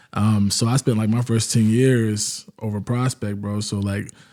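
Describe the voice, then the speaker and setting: Here a man talks at a fairly slow pace in a dark, mellow tone. His intonation stays monotone and flat. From Virginia, US (Charlottesville). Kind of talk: podcast interview.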